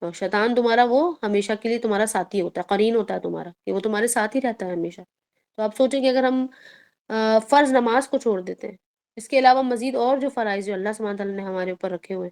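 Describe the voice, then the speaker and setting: A woman's fairly high voice with ordinary pitch variation on a very clean recording with a silent background. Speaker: Islamic teacher. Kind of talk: religious lecture. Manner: stern, firm tone; plain, even tone.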